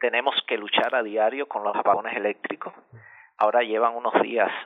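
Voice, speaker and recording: A man with a Cuban accent speaks in a monotone, flat intonation. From central Cuba. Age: 40s. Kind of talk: radio interview.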